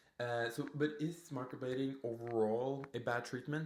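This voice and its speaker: At a moderate pace, a man with a non-native accent talks in a fairly high pitch. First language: not English. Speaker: permanent makeup artist and podcast host. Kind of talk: casual podcast monologue. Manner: animated; halting.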